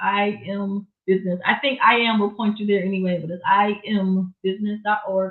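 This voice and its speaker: A woman's medium-pitched voice with a Southern US accent. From Florida, Miami. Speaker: gospel singer and songwriter, music business educator. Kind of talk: interview.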